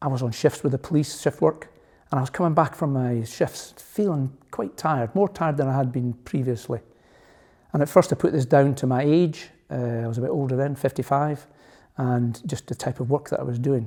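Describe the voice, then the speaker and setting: With a Scottish accent, a man talks at a fairly quick pace in a somewhat breathy, dark and mellow voice, his pitch fairly high with ordinary variation. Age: 60s. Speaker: cancer patient, retired police officer. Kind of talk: testimony.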